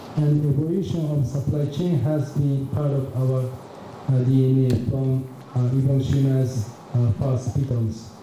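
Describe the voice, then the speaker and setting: A man speaks at a fairly slow pace and a medium pitch, with fairly even intonation and very even loudness. Noticeable background noise and audible room echo are present. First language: Japanese. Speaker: business executive. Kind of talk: keynote presentation. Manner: halting, many fillers.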